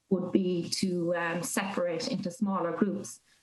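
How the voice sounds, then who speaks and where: There is audible room echo and noticeable background noise. A woman at a medium pitch speaks at a fairly slow pace with fairly even intonation. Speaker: academic researcher. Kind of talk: interview answer. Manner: hesitant, many fillers.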